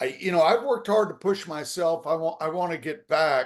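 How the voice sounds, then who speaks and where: Here a man speaks with an American accent at a moderate pace. His pitch is high. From US South, southwest Virginia. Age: 70s. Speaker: sports journalist and author. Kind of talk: casual interview.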